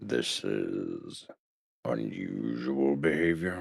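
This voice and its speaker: Growling in a put-on character voice, a man speaks at a very slow pace with a very deep, low pitch. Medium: audio drama. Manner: measured, calm.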